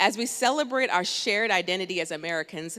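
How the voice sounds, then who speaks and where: A woman's bright, sharp, medium-pitched voice at a fairly quick pace with ordinary pitch variation. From Jamaica, moved to US at nine. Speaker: speaker sharing immigrant story. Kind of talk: prepared personal testimony speech. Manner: formal, read-aloud.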